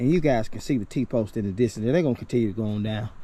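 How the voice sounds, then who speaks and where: The voice has a dark, mellow tone and a Southern US accent, moving at a fairly quick pace. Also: man. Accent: Southern US rural. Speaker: homesteader. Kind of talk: vlog walk-and-talk. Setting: outdoors. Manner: mumbling; halting.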